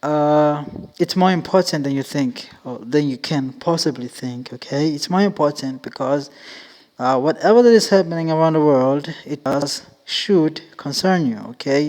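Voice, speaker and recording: A man's plain, everyday voice, fairly high in pitch, at a moderate pace with ordinary pitch variation. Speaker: podcast host. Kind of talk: casual podcast monologue.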